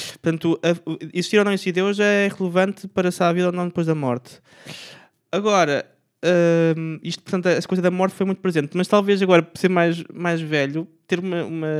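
A high-pitched man at a fairly quick pace with monotone, flat intonation, on a very clean recording against a silent background. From Portugal, Aveiro. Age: 20s. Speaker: street vendor. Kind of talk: casual chat.

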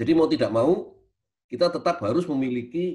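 A somewhat breathy man's voice at a moderate pace, with lively intonation. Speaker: university lecturer, speaker. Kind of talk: webinar lecture.

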